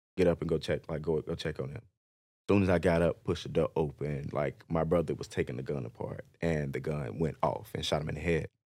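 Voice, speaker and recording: Vocal fry with an American accent and ordinary pitch variation. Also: man, very deep, low pitch for a man, fairly quick pace. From Chicago, South Side. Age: 20s. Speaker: streetwear designer. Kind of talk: casual chat.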